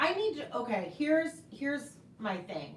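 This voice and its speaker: A woman speaks loudly in an animated tone with very wide pitch swings. Audible room echo and noticeable background noise surround her. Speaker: knitting podcast host. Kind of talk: casual live stream chat. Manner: loud, voice carries.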